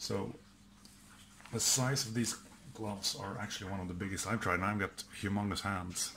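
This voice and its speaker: A man with a Swedish accent, fairly low pitch and a bright, sharp tone, at a moderate pace with long, frequent pauses and ordinary pitch variation, in audible room echo. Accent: Swedish accent, mispronounces some words. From Sweden. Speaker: outdoor gear and prepping youtuber. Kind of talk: product test video. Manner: casual, hesitant with fillers.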